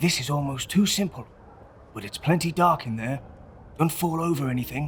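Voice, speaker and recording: Gruff and fairly high-pitched, a man puts on a character voice at a fairly quick pace over clear background noise. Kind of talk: vintage crime-comic acting. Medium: audio drama. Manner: gruff, clipped tough-guy slang.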